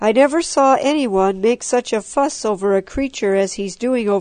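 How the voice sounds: Natural voice, reading.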